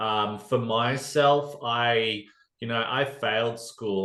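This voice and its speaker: Speaking very slowly, a man uses a strong Australian accent and fairly even intonation. Audible room echo surrounds his voice. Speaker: podcast guest sharing recovery story. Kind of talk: casual interview chat. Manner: halting, many fillers.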